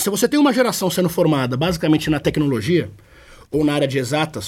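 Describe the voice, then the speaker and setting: A man's fairly high-pitched, somewhat breathy voice at a fairly quick pace. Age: 30s. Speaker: innovation expert. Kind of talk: interview.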